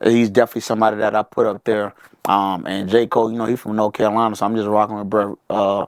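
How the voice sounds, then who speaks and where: A very fast pace with monotone, flat intonation. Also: man, fairly low pitch for a man, dry, close sound with no echo. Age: 20s. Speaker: rapper and military veteran. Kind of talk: casual chat. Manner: not fast.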